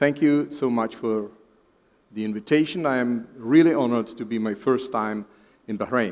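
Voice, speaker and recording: A man with a Czech accent speaks at a moderate pace and a medium pitch with ordinary pitch variation. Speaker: professor of fetal medicine. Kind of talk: lecture.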